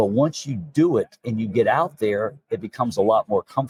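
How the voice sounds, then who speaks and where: A man with a medium-pitched, somewhat breathy voice speaks in a dry, close recording with no echo. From Alabama. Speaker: dentist. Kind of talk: interview. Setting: dental conference. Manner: fast.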